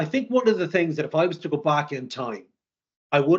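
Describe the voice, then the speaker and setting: Against a quiet background, a man speaks with an Irish accent. His pitch is fairly high and his intonation lively. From Ireland, near Dublin. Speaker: sales executive. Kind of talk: interview.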